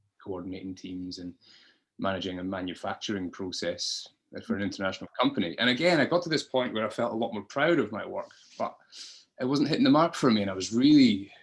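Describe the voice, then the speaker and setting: A man with a Scottish accent talks at a very fast pace with lively intonation at medium pitch. The recording is very clean, with a silent background. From Scotland, Dundee. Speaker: podcast guest. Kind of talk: interview, personal story. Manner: hesitant, many fillers.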